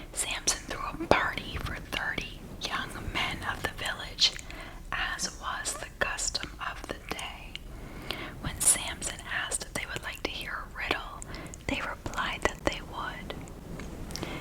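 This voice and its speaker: Someone whispers at a very slow pace amid noticeable background noise. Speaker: ASMR channel host. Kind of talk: whispered bedtime Bible story reading (ASMR). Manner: whispered, soft.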